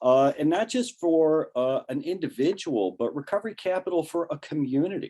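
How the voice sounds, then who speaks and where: In a Cleveland accent, the speaker talks at a moderate pace with lively intonation and a dark, mellow tone. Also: man. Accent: Inland North US (Cleveland). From Ohio, Cleveland west side. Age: 60s. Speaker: professor and addiction recovery presenter. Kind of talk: lecture. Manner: halting, many fillers and restarts.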